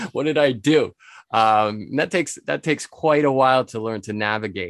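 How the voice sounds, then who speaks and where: Against a quiet background, a man with a New England accent speaks at a moderate pace with ordinary pitch variation, the sound dry and close with no echo. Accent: American (New England). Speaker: spirits importer and author. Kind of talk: interview.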